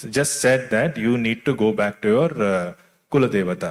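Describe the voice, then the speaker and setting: A man talks in an Indian accent with a fairly low pitch. His pace is moderate. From Delhi, India. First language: Tulu. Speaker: author and screenwriter. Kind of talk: interview at literary festival.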